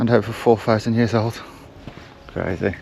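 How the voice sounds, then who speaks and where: Amid noticeable background noise, a man talks at a moderate pace and medium pitch. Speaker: travel vlogger. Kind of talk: casual vlog narration. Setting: outdoors.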